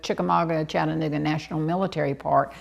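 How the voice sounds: A woman talks at a fast pace, her voice low in pitch with vocal fry and a fairly even intonation.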